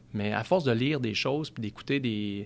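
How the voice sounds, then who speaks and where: Against a quiet background, a man of medium pitch talks at a fairly quick pace with ordinary pitch variation. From Quebec, Outaouais. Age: 30s. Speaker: car dealership sales director. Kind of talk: casual interview chat.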